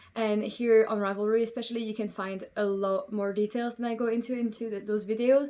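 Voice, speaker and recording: At a moderate pace, a woman speaks in a Belgian French accent at a fairly high pitch. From Belgium. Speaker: knitting podcaster. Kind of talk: casual chat.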